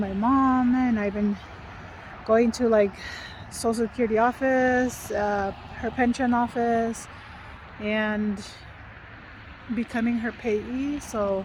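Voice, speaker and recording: Over noticeable background noise, a woman with a fairly high pitch talks at a very slow pace with fairly even intonation. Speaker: vlogger. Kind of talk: casual vlog talk. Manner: whispering.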